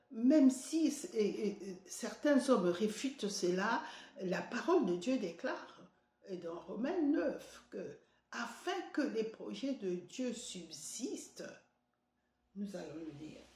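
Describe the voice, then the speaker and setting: In a room with audible echo, a woman with a fairly high voice talks very slowly, her pitch swinging very widely and her loudness rising and falling sharply. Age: 70s. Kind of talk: devotional sermon. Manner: halting, many hesitations.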